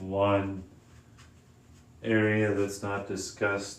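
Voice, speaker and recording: Soft-spoken and very deep in pitch, a man talks very slowly with audible room echo. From Canada. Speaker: vlogger and streamer. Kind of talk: casual livestream monologue. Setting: home livestream, lights down. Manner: soft-spoken, kept low.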